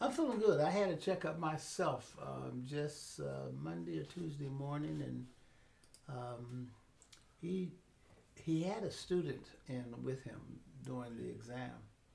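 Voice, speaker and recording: Noticeable background noise sits behind this recording. A man speaks at a fairly slow pace. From Pittsburgh. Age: 80s+. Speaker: educator and mentor. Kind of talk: interview answer.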